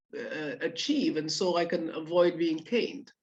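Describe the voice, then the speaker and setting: A woman with a slight Caribbean accent. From Guyana. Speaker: orthopaedic surgeon. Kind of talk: talk. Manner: hesitant fillers.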